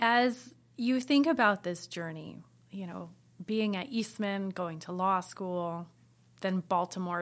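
Speaking with an American accent, a woman talks at a very slow pace with a medium pitch and lively intonation. The recording is very clean, with a silent background. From US Midwest, Iowa. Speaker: music institute director. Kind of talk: interview.

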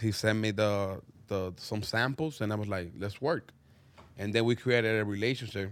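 A man with a fairly low voice, ordinary pitch variation and a moderate pace. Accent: Spanish. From Dominican Republic. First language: Spanish. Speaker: clothing brand owner. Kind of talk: casual chat. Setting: studio.

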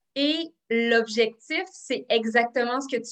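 A woman with a high voice and a bright, sharp tone speaks with ordinary pitch variation. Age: 30s. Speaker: psychoeducator and author. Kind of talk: interview. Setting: video call.

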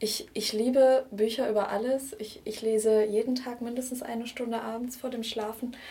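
Using a normal speaking voice, a woman talks at a moderate pace with a fairly high pitch, fairly even intonation and hardly any pauses. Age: 20s. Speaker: vintage blogger and art historian. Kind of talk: interview.

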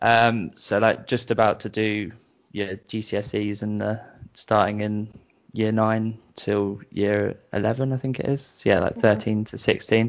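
A man with a British accent speaks very slowly at fairly low pitch. His intonation is flat and monotone. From southern England (Brighton). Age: 30s. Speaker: musician. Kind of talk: casual interview, telling personal story. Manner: halting, many fillers.

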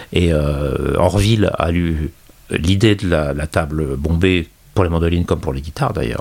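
A man's very deep, low voice with ordinary pitch variation, set against noticeable background noise. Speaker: guitarist and guitar journalist. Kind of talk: casual interview.

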